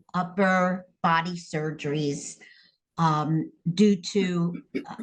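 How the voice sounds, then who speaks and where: A woman's fairly low, somewhat breathy voice at a very slow pace, with fairly even intonation. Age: 70s. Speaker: interviewee, therapy client. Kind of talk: interview testimony.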